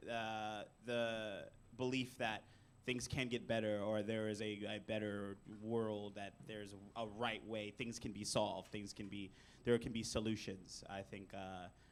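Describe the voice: A man speaks loudly at a fairly slow pace, his fairly low pitch showing little pitch movement.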